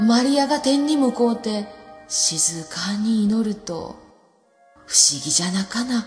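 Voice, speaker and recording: With music in the background, a woman speaks at a fairly high pitch with very wide pitch swings. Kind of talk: folk tale storytelling.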